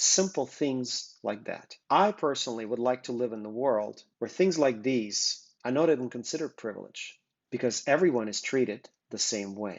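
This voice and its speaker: In a Russian accent, a man speaks at a moderate pace and a medium pitch. His intonation is lively. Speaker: business co-founder presenting interview project. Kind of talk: prepared video introduction. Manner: earnest.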